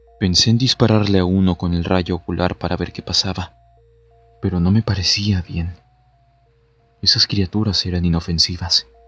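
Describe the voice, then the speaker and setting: A man speaks at a moderate pace in a very deep, low voice. The sound is dry and close with no echo, though noticeable background noise is present. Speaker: narrator. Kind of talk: read horror story narration.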